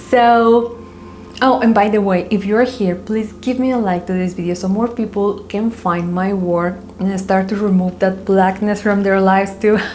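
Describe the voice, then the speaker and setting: Delivered at a moderate pace with a non-native accent and fairly even intonation, the voice comes through noticeable background noise and audible room echo. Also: woman, medium pitch for a woman. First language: not English. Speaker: spiritual coach. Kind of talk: casual vlog monologue.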